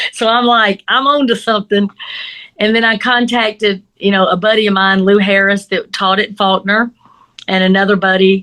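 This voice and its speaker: With a Southern US accent, this voice moves at a moderate pace in a bright, sharp tone, its intonation monotone and flat. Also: woman, medium pitch for a woman, very even loudness. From US South. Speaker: crime scene investigator and instructor. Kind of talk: interview.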